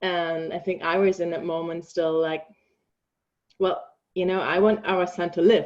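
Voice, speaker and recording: A woman with a fairly low voice speaks in a monotone, flat intonation at a fairly slow pace, pausing long and often. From Germany. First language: German. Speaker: bereaved mother and grief support coach. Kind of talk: personal testimony in interview. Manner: halting, many filler ums.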